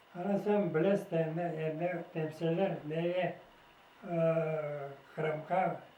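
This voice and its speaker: A man's high-pitched, flat monotone at a very slow pace, with audible room echo and noticeable background noise. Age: 90s. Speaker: war veteran. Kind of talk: testimony. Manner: halting.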